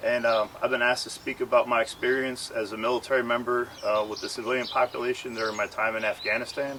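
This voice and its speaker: A man's medium-pitched, flat, monotone voice at a very fast pace with hardly any pauses, amid noticeable background noise. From Philadelphia, US. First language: Ukrainian. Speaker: war veteran. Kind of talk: testimony. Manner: halting.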